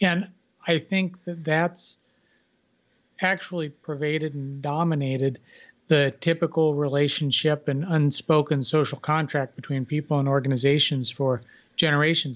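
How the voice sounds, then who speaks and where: Over a quiet background, a man speaks at a moderate pace with a fairly high pitch and fairly even intonation, in a plain, everyday voice. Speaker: author. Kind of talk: interview.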